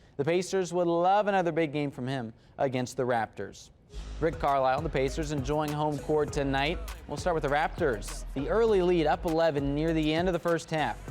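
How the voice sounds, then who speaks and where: With music in the background, a man with a fairly high pitch talks at a moderate pace with ordinary pitch variation. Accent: American. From Indianapolis, US. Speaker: sports anchor and reporter. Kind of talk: TV sports broadcast delivery.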